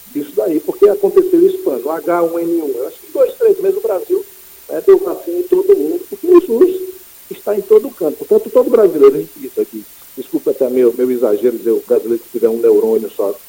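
Talking very fast, a man swings widely in loudness amid noticeable background noise. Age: 50s. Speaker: city councillor. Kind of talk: radio interview. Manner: halting, many repetitions.

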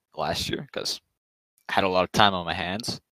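Recorded dry and close with no echo, a man talks in a bright, sharp tone. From Toronto, Canada. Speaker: fantasy baseball league member. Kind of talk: casual chat.

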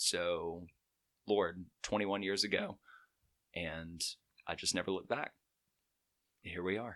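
With an American accent, a man speaks fairly slowly in a very deep, low pitch, with fairly even intonation and long, frequent pauses. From Alabama, Chelsea in Shelby County. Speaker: musician. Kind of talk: casual chat.

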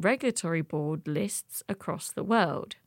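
On a very clean recording with a silent background and a dry, close sound with no echo, a woman speaks at a fairly slow pace in a fairly low pitch, with ordinary pitch variation and an ordinary speaking voice. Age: 20s. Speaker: podcast host. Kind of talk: scripted narration.

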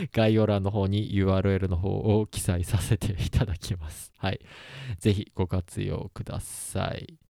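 A man's fairly low, dark, mellow voice, flat and monotone, at a fairly slow pace, in a dry, close recording with no echo. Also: very clean recording, silent background. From Kansai, Osaka. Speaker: podcast host, engineer. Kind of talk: casual solo talk.

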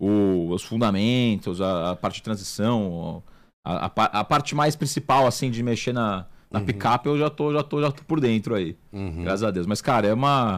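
A man with a fairly low pitch talks with lively intonation. He has a normal speaking voice and a moderate pace. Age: 20s. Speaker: chef and restaurant owner. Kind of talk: casual interview chat.

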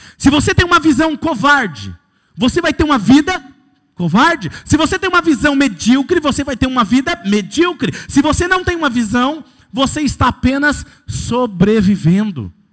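An animated man with an extremely high voice at a moderate pace, his pitch swinging very widely. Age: 30s. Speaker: pastor. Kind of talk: sermon.

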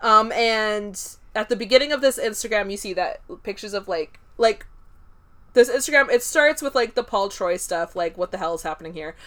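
A woman's plain, everyday voice, fairly high in pitch, with lively intonation, big swings in loudness and a fairly quick pace, on a very clean recording with a silent background. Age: 20s. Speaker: podcast co-host. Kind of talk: casual chat.

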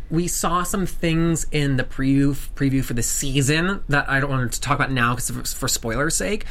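Noticeable background noise runs under a voice with an American accent. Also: man. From US South. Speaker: TV after-show host. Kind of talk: casual chat. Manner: animated.

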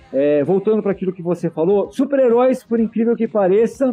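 A man speaks at a fairly quick pace with high pitch and lively intonation. Music plays in the background. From Santo André, São Paulo state, Brazil. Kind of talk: interview.

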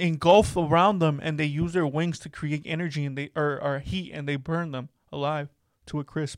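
In a very clean recording with a silent background, a man with an unremarkable speaking voice talks at a moderate pace with fairly high pitch. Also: fairly even intonation. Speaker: podcast host. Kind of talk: casual chat.

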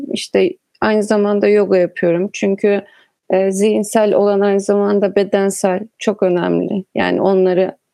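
A woman with a dark, mellow tone talks at a fairly slow pace and medium pitch, recorded with a dry, close sound and no echo. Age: 20s. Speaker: writer and illustrator. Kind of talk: casual chat.

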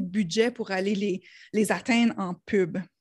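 Against a quiet background, a somewhat breathy woman with a slight New Brunswick accent speaks at a fairly slow pace, at medium pitch with ordinary pitch variation. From New Brunswick, Canada (Acadian). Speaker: Facebook ads consultant. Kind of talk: casual interview.

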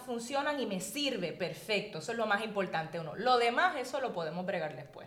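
A woman's fairly high voice in a Puerto Rican accent, with very wide pitch swings at a moderate pace, amid audible room echo and noticeable background noise. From Puerto Rico, Arecibo area. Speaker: architect and magazine editor. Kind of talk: interview.

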